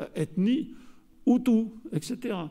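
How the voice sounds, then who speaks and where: With a southern French accent, a man speaks in a dark, mellow tone with lively intonation. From southern France. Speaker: geographer and researcher. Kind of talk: conference lecture. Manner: hesitant, many fillers.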